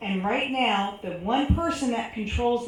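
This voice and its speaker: With an animated tone and lively intonation, a woman with a fairly high pitch talks at a moderate pace amid noticeable background noise and audible room echo. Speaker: panelist at community forum. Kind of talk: public forum Q&A answer. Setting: stage with audience. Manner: loud.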